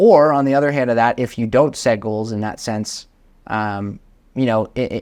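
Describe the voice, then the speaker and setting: An unremarkable speaking voice with an American accent moves at a moderate pace. Pitch variation is ordinary against a quiet background. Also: man, medium pitch for a man. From Vermont, US Northeast. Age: 20s. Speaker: real estate investor. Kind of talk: podcast interview.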